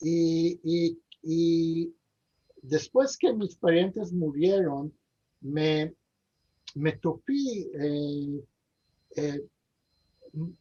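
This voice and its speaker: Long, frequent pauses interrupt speech that moves at a very slow pace. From Istanbul, Turkey. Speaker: interview guest, Ladino heritage speaker. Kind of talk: interview. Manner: halting, many repetitions and fillers.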